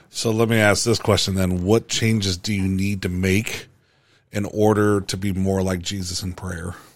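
In a very clean recording with a silent background, a man speaks at a moderate pace with a very deep, low pitch and a monotone, flat intonation.

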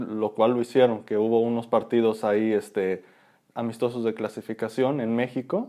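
A man speaks in a Mexican accent with monotone, flat intonation and a dark, mellow tone. The background is quiet. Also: medium pitch for a man, moderate pace. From Mexico. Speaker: podcast co-host. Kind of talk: casual chat.

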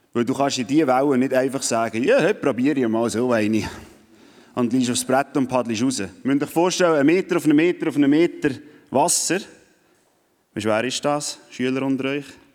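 The man's pitch is medium, with ordinary variation. He moves at a fairly quick pace but leaves long, frequent pauses. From Switzerland. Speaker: youth event speaker. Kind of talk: sermon.

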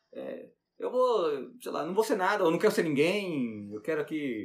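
With a Brazilian accent, a man talks at a fairly quick pace, his pitch making very wide swings. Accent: Brazilian accent when speaking English. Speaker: science teacher. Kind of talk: interview. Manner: halting, repeats words.

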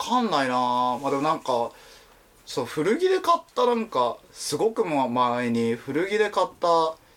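A man speaks at a fairly slow pace. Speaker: podcast co-host, illustrator. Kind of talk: casual chat.

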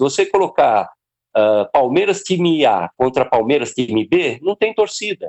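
A man speaks at a moderate pace. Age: 60s. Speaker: cartoonist. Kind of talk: casual chat.

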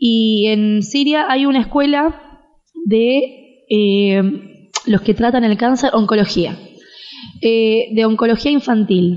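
A woman speaks very slowly at a fairly high pitch with ordinary variation. Her loudness stays very even. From Argentina. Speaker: interviewee on Syria. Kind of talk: interview.

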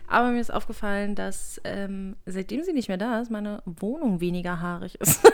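A woman with a plain, everyday voice, medium in pitch with ordinary pitch variation, at a moderate pace with hardly any pauses. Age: 20s. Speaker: podcast co-host. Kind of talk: casual chat.

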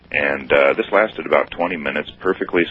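A man talks at a moderate pace with an American accent. Noticeable background noise runs under his voice. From US Midwest, Ohio. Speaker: caller. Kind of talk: radio call-in. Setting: phone call.

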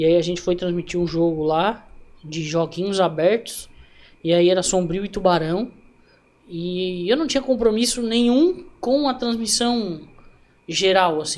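A man's high voice at a fairly slow pace, with ordinary pitch variation and long, frequent pauses. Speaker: amateur football broadcaster and narrator. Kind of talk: casual interview chat.

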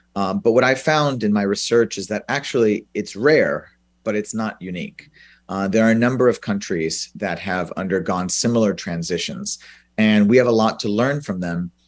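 At a moderate pace, a man speaks in an ordinary speaking voice, fairly low in pitch with ordinary pitch variation. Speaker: professor. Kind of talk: press briefing talk. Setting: video call.

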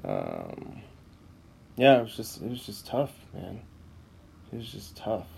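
A man speaks at a fairly slow pace with long, frequent pauses and big swings in loudness, and the room echo is audible. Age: 30s. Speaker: podcaster. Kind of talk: personal monologue. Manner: halting.

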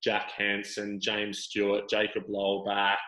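A man with an Australian accent speaks at a very slow pace in a fairly low, bright and sharp voice with monotone, flat intonation. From Sydney, Australia. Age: 30s. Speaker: surf ironman athlete. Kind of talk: casual interview.

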